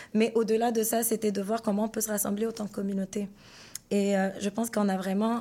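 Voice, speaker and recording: A woman talks at a fairly quick pace in a fairly high voice with a dark, mellow tone. Her intonation is monotone and flat. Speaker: singer and artist. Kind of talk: interview.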